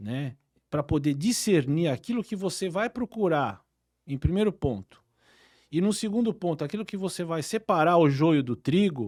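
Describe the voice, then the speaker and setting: A man speaks at a high pitch and moderate pace, with very wide pitch swings. The recording is very clean and silent in the background, with a dry, close sound and no echo. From São Paulo city, Brazil. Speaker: oral and maxillofacial surgeon. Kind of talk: interview. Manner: hesitant with many fillers.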